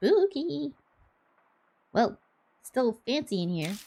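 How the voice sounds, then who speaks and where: A female-sounding, put-on character voice at a fairly high pitch swings very widely up and down. The pace is very slow. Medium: game stream. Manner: cheerful, cocky.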